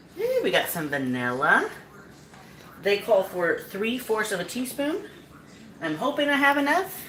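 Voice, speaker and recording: Through audible room echo and noticeable background noise, a woman talks at a fairly slow pace and a fairly high pitch, with very wide pitch swings and long, frequent pauses. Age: 40s. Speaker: cooking show host. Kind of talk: cooking tutorial live stream. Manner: casual, relaxed.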